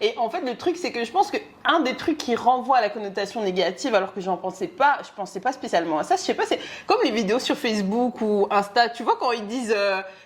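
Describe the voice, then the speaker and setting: Her fairly high voice moves at a fairly quick pace, and this woman's pitch swings very widely. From Belgium. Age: 20s. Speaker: podcast co-host. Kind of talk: casual chat.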